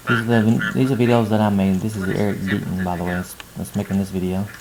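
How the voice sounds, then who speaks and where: Here a man talks at a very fast pace. His intonation stays fairly even. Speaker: math instructor. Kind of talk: tutorial.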